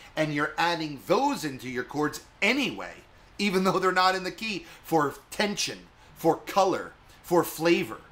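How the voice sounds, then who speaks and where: A man speaks in a high pitch with a bright, sharp tone. His intonation is lively, and his pace is fairly slow. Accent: American. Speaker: guitar teacher. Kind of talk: tutorial.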